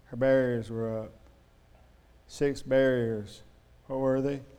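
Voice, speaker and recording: In a room with audible echo, a man talks at a medium pitch and a very slow pace with fairly even intonation. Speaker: preacher. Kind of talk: sermon. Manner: slurred, mumbly speech; halting, stammering repetitions.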